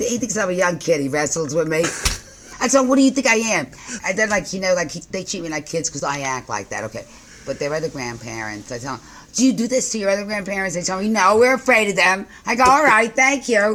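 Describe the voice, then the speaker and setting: A woman with a New York accent races along at a very fast pace, her pitch swinging very widely. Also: medium pitch for a woman. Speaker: postal shop owner. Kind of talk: interview answer. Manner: energetic, upbeat.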